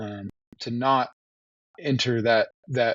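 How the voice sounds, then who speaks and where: With fairly even intonation, a man speaks at a medium pitch in an American accent. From Texas, Austin. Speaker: wildlife biologist. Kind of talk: interview.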